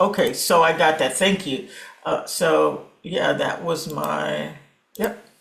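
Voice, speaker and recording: The speech moves at a very slow pace. Audible room echo is present. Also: woman. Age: 60s. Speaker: coaching program participant. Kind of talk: casual chat. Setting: video call.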